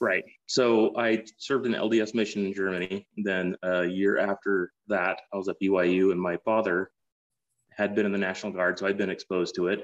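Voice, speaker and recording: In a dry, close sound with no echo, a man with a fairly low voice talks at a moderate pace in a monotone, flat intonation. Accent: American. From Utah, US. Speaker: war veteran and private equity investor. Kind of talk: interview. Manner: hesitant with many fillers.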